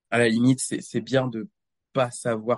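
A man speaks at a medium pitch with fairly even intonation, and the sound is dry and close with no echo. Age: 20s. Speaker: rhythmic gymnast and doctoral student. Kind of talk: casual interview.

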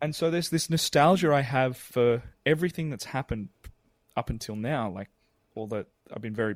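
A man with an Australian accent speaks fairly quickly in a fairly high pitch with ordinary pitch variation. The sound is dry and close with no echo, and the recording is very clean with a silent background. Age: 30s. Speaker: musical theatre performer. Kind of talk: interview.

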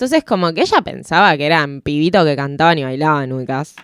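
A woman with a Rioplatense accent talks at a moderate pace. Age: 20s. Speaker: radio and audiovisual producer. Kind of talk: casual chat.

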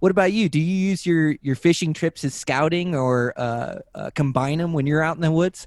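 At a moderate pace with hardly any pauses, a man with an unremarkable speaking voice and an American accent talks in a fairly high pitch with ordinary pitch variation, in a dry, close, very clean recording with no echo and a silent background. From Western Washington. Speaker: podcast host and angler. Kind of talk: casual chat.

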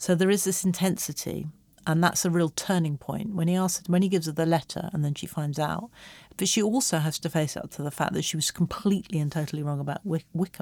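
A woman with an English accent talks at a very fast pace, her pitch fairly low and her pitch variation ordinary. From England. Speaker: screenwriter and creative writing professor. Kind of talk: casual interview chat. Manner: hesitant, many fillers.

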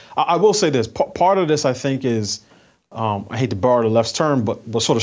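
A plain, everyday voice, a man at a medium pitch and a fairly quick pace. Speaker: commentator. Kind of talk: casual chat.

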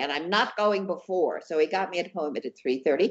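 In a normal speaking voice with an American accent, a woman talks at a moderate pace and medium pitch with lively intonation. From US Northeast, New York City.

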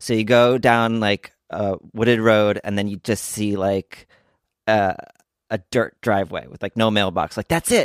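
An unremarkable speaking voice from a man with an American accent, fairly low in pitch at a fairly slow pace, in a very clean recording with a silent background and a dry, close sound with no echo. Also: fairly even intonation. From New Jersey. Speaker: actor and comedian. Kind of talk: casual chat.

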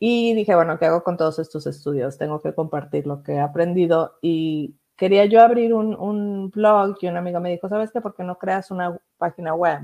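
At a moderate pace and with hardly any pauses, a woman speaks in a dark, mellow tone. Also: fairly low pitch for a woman, ordinary pitch variation, quiet background. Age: 50s. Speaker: communications executive and crypto site founder. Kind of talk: interview.

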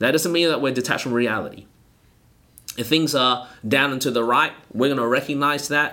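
Bright and sharp in tone, this voice has an Australian accent and moves at a moderate pace with fairly even intonation. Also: man, medium pitch for a man. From Australia, Melbourne. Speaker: pastor. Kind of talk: casual interview.

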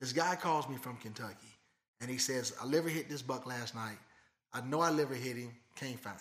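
In an American accent, a man speaks with an ordinary speaking voice at medium pitch, a fairly quick pace, ordinary pitch variation and big swings in loudness. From Michigan. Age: 50s. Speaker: blood tracking dog handler. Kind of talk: casual interview.

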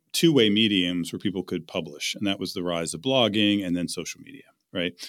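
Heard on a very clean recording with a silent background, an ordinary speaking voice shows ordinary pitch variation. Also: man. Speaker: author and venture investor. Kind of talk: interview.

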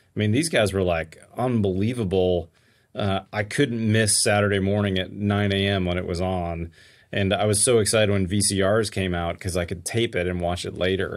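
Using an ordinary speaking voice, a man with an American accent speaks at a moderate pace with fairly low pitch and fairly even intonation. The recording is very clean with a silent background. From Pittsburgh, Pennsylvania. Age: 50s. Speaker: home builder and construction YouTuber. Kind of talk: casual interview. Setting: home studio.

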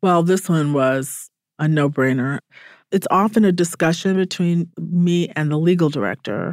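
An unremarkable speaking voice with an American accent, recorded very cleanly against a silent background. The pitch varies in an ordinary way and the pace is moderate. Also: woman, fairly low pitch for a woman. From US South, Atlanta, Georgia. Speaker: civil rights lawyer, advocacy director. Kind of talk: interview. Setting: studio.

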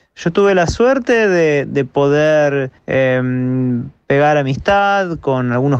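A man at a very slow pace, fairly high in pitch, with ordinary pitch variation. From Argentina, Buenos Aires. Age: 30s. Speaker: DJ and music producer. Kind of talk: interview. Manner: halting, with many fillers and repetitions.

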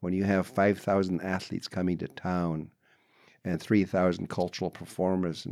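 A man speaks with a very deep, low pitch in a monotone, flat intonation. The recording is very clean, with a silent background. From British Columbia coast, Canada. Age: 70s. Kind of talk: interview storytelling.

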